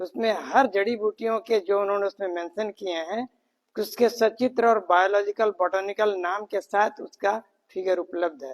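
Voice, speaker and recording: A man speaks in a high voice with fairly even intonation, recorded dry and close with no echo. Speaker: spiritual teacher. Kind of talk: speech at training camp. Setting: training camp. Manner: soft-spoken. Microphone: no mic, power outage.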